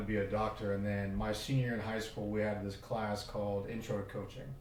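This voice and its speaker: A man's fairly low-pitched voice with an American accent at a very fast pace, with audible room echo and noticeable background noise. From Oklahoma. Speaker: football coach. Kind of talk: podcast interview. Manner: hesitant, many fillers.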